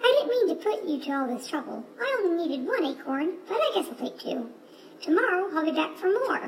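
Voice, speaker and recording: Using a squeaky, put-on character voice at an extremely high pitch, a woman talks at a fairly quick pace over clear background noise. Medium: read story. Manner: polite.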